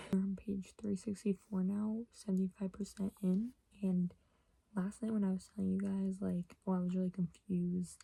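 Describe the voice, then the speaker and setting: A quiet woman speaks at a moderate pace and medium pitch, with monotone, flat intonation and very even loudness. Her voice is somewhat breathy, with a dark, mellow tone. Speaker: book vlogger. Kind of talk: casual vlog. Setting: at home. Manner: rambling, filler-heavy; speaking quietly.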